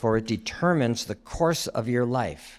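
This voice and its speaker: A man talks in an ordinary speaking voice at a moderate pace, with ordinary pitch variation. The recording is very clean, with a silent background. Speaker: former pastor, guest preacher. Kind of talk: sermon.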